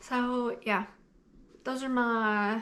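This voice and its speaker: With an eastern Kentucky accent, a woman speaks at a high pitch. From eastern Kentucky, Appalachian mountains. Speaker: book YouTuber. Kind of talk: casual Q&A vlog.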